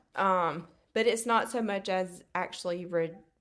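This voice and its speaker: With a Southern US accent and ordinary pitch variation, a woman speaks in a very clean recording with a silent background. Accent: Southern US, noticeable drawl. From Alabama, US South. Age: 30s. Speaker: treatment coordinator at a dental practice. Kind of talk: casual interview chat. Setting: event venue in a church, in person. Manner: warm, friendly, laughs often.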